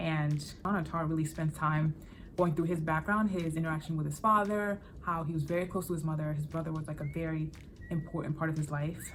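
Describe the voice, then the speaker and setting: Over noticeable background noise, the speaker talks in a flat monotone with an American accent. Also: woman, very deep, low pitch for a woman. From born in Benin, raised in US from age seven. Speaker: book YouTuber. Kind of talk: casual vlog talk. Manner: casual, with many fillers and restarts.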